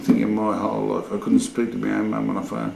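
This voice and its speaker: A man speaks with an Australian accent, with audible room echo and noticeable background noise. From Sydney, Australia. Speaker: oral history interviewee. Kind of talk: oral history interview.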